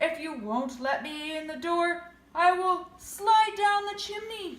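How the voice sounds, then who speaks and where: A woman uses a put-on character voice at an extremely high pitch. She talks at a fairly slow pace. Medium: read story.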